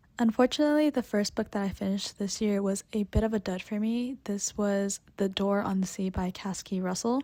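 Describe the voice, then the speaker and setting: The voice is quiet and moves at a fairly quick pace. There are hardly any pauses. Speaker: book reviewer. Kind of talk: casual book review vlog. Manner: quiet, toned down.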